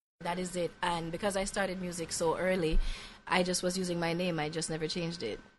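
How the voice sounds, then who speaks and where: The delivery is very fast. Intonation stays monotone and flat. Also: woman, fairly low pitch for a woman. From Jamaica, Ocho Rios. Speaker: singer-songwriter. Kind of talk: interview. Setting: studio.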